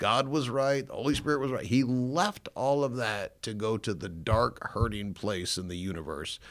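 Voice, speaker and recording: A man with a Chicago accent at a moderate pace, very wide pitch swings, very clean recording with a silent background. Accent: Inland North American (Chicago area). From northern Illinois. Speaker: pastor. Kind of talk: testimony. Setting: studio.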